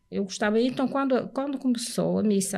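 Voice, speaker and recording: Somewhat breathy, a woman talks at a moderate pace. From Portugal, Porto. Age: 70s. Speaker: churchgoer giving religious testimony. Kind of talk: testimony in podcast interview.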